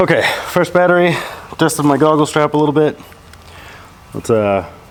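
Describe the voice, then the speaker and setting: The speech moves at a fairly quick pace with ordinary pitch variation and very even loudness. Background noise is noticeable. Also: man. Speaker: drone pilot vlogger. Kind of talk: casual vlog commentary while flying. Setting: outdoors in a park. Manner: hesitant with repeated words; animated.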